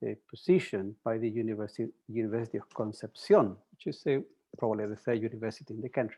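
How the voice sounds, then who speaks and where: A man's medium-pitched voice, very fast in pace, with big swings in loudness. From Chile. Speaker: mathematics professor. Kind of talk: interview. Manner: halting.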